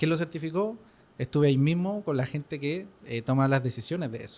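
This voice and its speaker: With ordinary pitch variation and a fairly high pitch, a man talks very fast. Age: 20s. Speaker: pharmaceutical chemist. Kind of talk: interview.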